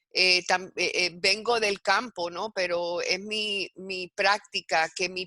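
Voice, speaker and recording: A woman speaks with a Puerto Rican accent in a bright, sharp tone. Her intonation stays fairly even, and the sound is dry and close with no echo. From Puerto Rico. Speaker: university educator in advertising. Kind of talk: interview presentation. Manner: halting, many fillers.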